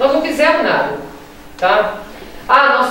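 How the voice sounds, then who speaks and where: A woman speaks at a fairly slow pace with a high pitch. Strong room echo surrounds her, with light background noise. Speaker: veterinarian. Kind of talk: panel discussion. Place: meeting room. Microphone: camera far.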